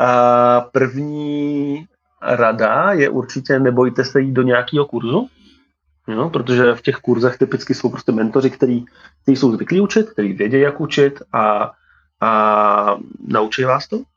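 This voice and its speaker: Here a man talks at a fairly slow pace. His medium pitch shows ordinary variation. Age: 30s. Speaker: tech company co-founder. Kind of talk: interview. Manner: halting, many fillers.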